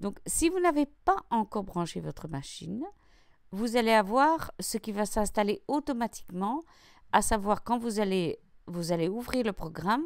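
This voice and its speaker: A woman with a Belgian accent speaks at fairly high pitch and a fairly slow pace, with very wide pitch swings. The recording is very clean, with a silent background. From Belgium. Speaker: craft YouTuber. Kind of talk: tutorial. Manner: casual, with hesitations.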